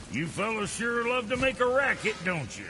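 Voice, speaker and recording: Over clear background noise, a man does a put-on character voice that is gruff and high-pitched. His pace is moderate. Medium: video game. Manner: gruff, crude.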